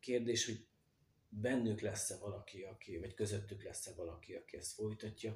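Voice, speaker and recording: A man speaks fairly quickly in a fairly low pitch. His voice is somewhat breathy, with fairly even intonation. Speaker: potter. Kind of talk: interview.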